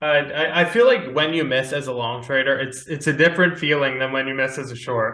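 A man with an ordinary speaking voice, at a fairly quick pace with hardly any pauses and fairly even intonation. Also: fairly high pitch for a man. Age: 20s. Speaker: podcast host and stock trader. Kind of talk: casual chat.

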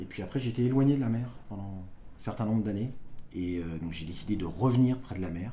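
A man with a fairly low pitch and a dark, mellow tone talks at a very fast pace, somewhat breathy, with ordinary pitch variation. He leaves long, frequent pauses, and audible room echo surrounds his voice. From Brittany, Côtes d'Armor. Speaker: lighthouse enthusiast on social media. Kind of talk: casual interview. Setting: indoors, lighthouse kitchen. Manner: halting.

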